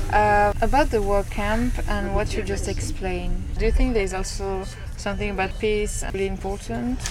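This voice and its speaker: Moderate-paced speech from a woman, with audible room echo and noticeable background noise. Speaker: podcast host. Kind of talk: interview. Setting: on a train. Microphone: poor recording quality.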